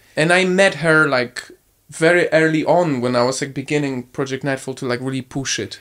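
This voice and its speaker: In a Polish accent, a man speaks at a fairly high pitch on a very clean recording with a silent background. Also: ordinary pitch variation, moderate pace. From Poland, small town. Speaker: content creator. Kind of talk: casual chat.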